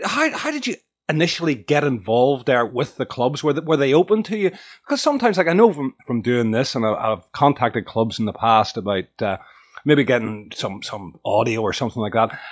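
A man with a normal speaking voice talks at a medium pitch and a fairly quick pace, his intonation lively. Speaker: podcast host. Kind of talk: casual interview chat.

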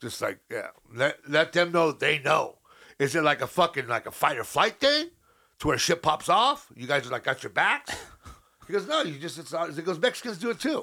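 This voice is loud, with a bright, sharp tone. Its pitch swings very widely. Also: man, high pitch for a man, moderate pace, very clean recording, silent background. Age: 50s. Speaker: podcast co-host, amateur comedian. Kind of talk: casual chat.

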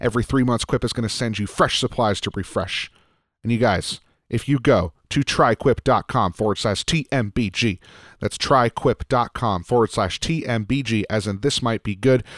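An unremarkable speaking voice from a man, medium in pitch with ordinary pitch variation, at a moderate pace, with a dry, close sound, no echo, and a very clean recording over a silent background. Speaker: podcast producer and co-host. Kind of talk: casual chat.

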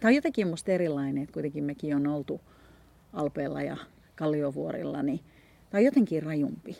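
A woman talks at a very fast pace. She leaves long, frequent pauses. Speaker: podcast host. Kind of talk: casual chat. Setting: outdoors. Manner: stammering.

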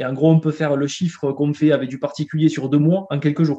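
The man talks at a fairly quick pace in a fairly high pitch. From southern France, near Carcassonne. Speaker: entrepreneur. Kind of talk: interview. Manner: halting, frequent repetitions.

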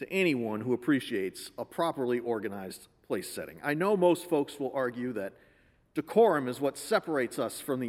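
Lively intonation in a natural voice reading aloud

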